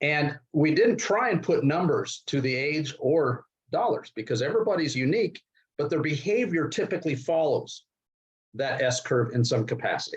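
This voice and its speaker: This man has a normal speaking voice, fairly high in pitch. He talks at a moderate pace with lively intonation. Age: 60s. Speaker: investment and securities expert. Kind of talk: interview.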